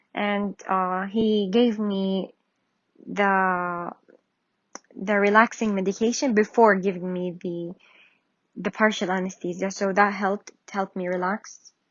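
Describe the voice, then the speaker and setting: A woman with a non-native accent speaks at a medium pitch and a fairly slow pace, her intonation monotone and flat, with long, frequent pauses. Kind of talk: casual talk to camera. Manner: hesitant, many fillers.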